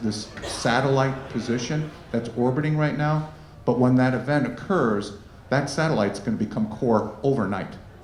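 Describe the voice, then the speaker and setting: Noticeable background noise and audible room echo surround a man with a medium pitch. He talks at a moderate pace with very even loudness and ordinary pitch variation. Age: 60s. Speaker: wealth manager. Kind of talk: fireside chat.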